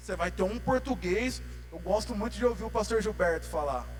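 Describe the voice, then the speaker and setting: Audible room echo surrounds a man's voice. There is music in the background. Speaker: lay preacher. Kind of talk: sermon. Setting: church. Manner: informal, slangy.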